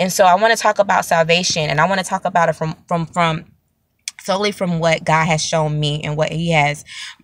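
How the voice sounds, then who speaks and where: The voice keeps a fairly even intonation, with a quiet background and a dry sound with no echo. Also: woman. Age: 30s. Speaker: prophet, online preacher; online preacher. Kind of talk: sermon-style video teaching. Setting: self-recorded video. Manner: repetitive, halting with fillers. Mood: earnest, reflective. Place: car. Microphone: phone near.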